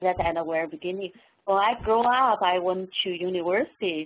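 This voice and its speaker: A woman with a Chinese accent, fairly low in pitch with ordinary pitch variation, at a fairly slow pace. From China. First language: Mandarin Chinese. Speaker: professor. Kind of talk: webinar talk. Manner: halting.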